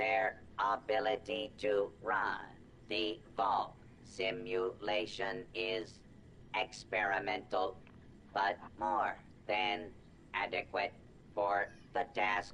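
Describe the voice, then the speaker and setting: A low-pitched, put-on character voice at a very slow pace, with long, frequent pauses and clear background noise. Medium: video game. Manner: formal, stiff, condescending.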